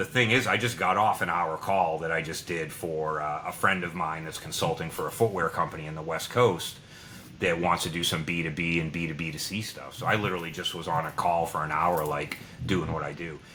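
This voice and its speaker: A man speaks at a fairly quick pace in a very deep, low voice with fairly even intonation, over noticeable background noise. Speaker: podcast host and former agency leader. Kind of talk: casual chat. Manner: loud.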